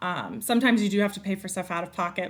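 With an American accent, a woman speaks in an unremarkable speaking voice at medium pitch with ordinary pitch variation. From North Carolina. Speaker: wife of a football coach. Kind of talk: casual interview.

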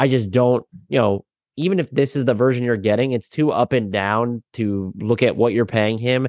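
The man's pitch is medium, with ordinary variation and very even loudness. The sound is dry and close with no echo, over a quiet background. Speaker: basketball writer and podcaster. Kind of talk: casual chat. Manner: fast.

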